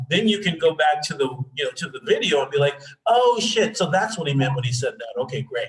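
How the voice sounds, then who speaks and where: A man talks at a very fast pace in a high pitch. His intonation is lively. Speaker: astrology teacher. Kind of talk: lecture.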